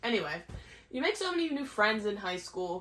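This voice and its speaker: A woman talks at a moderate pace in a medium pitch. It is a normal speaking voice. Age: 20s. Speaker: social media content creator. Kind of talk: casual talk to camera.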